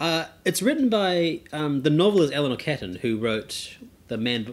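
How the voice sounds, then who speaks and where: In a normal speaking voice, a man talks at a fairly high pitch with lively intonation. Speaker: film podcast co-host. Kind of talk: casual chat.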